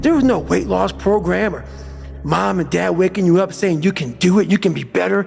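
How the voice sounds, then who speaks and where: Music plays in the background as a man speaks at a moderate pace in an intense tone. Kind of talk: motivational speech. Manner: intense, profane.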